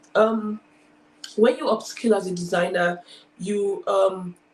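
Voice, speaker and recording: A woman speaks at a medium pitch, sounding somewhat breathy. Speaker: design school founder and speaker. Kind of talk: talk at online career event. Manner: fast; animated.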